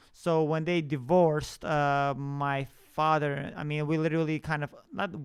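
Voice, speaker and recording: A man speaks at a moderate pace with a non-native accent. His pitch is fairly high for a man, and his intonation is flat and monotone. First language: not English. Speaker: podcast host. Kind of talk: personal storytelling monologue. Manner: halting, many fillers and restarts.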